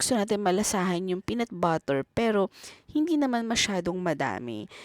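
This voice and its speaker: A woman's moderately paced speech with a Filipino accent, very wide pitch swings and a dry, close sound with no echo. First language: Tagalog. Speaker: home cook. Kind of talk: cooking tutorial.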